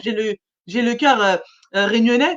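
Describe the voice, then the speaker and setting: Very fast speech from a woman with ordinary pitch variation. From mainland France, Réunionese family. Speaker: radio show host and singer. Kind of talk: radio interview chat. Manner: halting.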